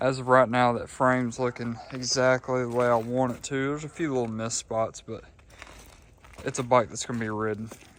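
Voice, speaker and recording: A man speaks at medium pitch and a moderate pace. His intonation is monotone and flat. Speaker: motorcycle mechanic vlogger. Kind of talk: workshop build vlog. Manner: casual, filler-heavy.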